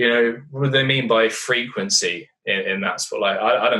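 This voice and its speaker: A man talks at a moderate pace in an English accent. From Britain. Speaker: poker commentator and player. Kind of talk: casual interview chat. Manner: animated.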